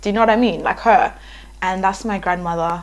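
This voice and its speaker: A woman speaks with a South African accent. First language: Ndebele. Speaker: YouTuber. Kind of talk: casual vlog talk. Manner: hesitant, many fillers.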